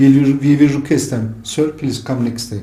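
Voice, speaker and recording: The speech has a Turkish accent and a flat, monotone intonation. Room echo is audible. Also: man. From Turkey, Gaziantep. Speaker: restaurant owner. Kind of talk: radio interview.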